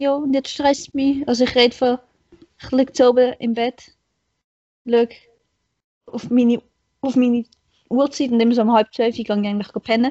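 The intonation stays flat and monotone. Long pauses come frequently. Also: woman, high pitch for a woman, moderate pace. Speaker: podcast guest. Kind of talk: casual chat.

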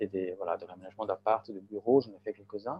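A man's voice with ordinary pitch variation. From Switzerland, Graubünden. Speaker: architect and gallery founder. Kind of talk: interview. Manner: halting.

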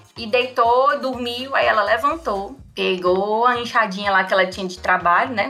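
With music playing in the background, a woman speaks with ordinary pitch variation. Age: 30s. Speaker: anthropologist. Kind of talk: casual storytelling chat.

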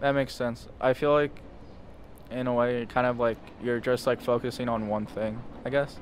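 With an American accent, a man speaks at a moderate pace and medium pitch. His intonation is monotone and flat, with long, frequent pauses. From Lancaster County, Pennsylvania. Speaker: podcast host. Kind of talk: casual interview.

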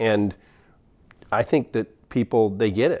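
The speaker has a dark, mellow tone and an American accent, moving at a moderate pace. The recording is very clean, with a silent background. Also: man. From Oregon, McMinnville. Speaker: construction company president. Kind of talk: casual interview. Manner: halting, many fillers.

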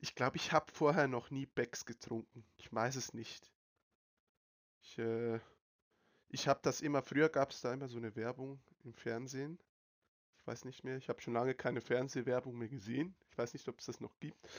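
A man's medium-pitched voice at a moderate pace, with fairly even intonation, big swings in loudness, and long, frequent pauses, in a dry, close sound with no echo. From Switzerland. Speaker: podcast host. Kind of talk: casual chat. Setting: online voice call.

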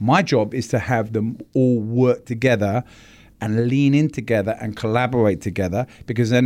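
A man with a British accent talks at a moderate pace and medium pitch. His intonation is fairly even, and the recording is very clean with a silent background. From London, England. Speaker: advertising agency executive. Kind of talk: interview.

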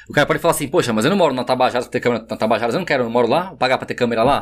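Pitch varies in an ordinary way on a very clean recording with a silent background. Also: man. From São Paulo, Mooca. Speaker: neighborhood security watch founder. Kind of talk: casual chat.

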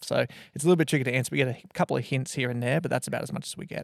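A man with an Australian accent and vocal fry speaks at a medium pitch on a very clean recording with a silent background. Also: dry, close sound with no echo. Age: 30s. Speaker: church minister. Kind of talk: casual chat.

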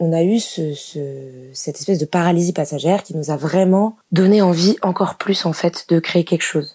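The tone is dark and mellow, with ordinary pitch variation. Delivery runs at a fairly quick pace. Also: woman. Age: 20s. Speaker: theatre communications officer. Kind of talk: casual interview. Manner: hesitant, many fillers.

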